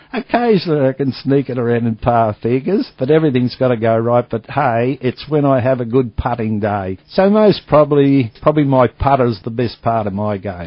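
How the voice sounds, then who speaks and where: An Australian accent at a fairly quick pace, with hardly any pauses and ordinary pitch variation. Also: man, medium pitch for a man. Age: 60s. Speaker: retired golf ball businessman. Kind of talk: radio interview.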